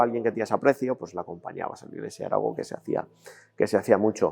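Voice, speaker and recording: A man at a medium pitch, with monotone, flat intonation. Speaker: brotherhood member. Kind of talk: documentary interview. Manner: halting.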